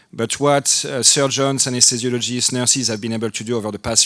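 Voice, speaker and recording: A man speaks in a French accent at a moderate pace. His intonation stays fairly even. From France. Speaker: anesthesiologist, department chair. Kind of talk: panel discussion.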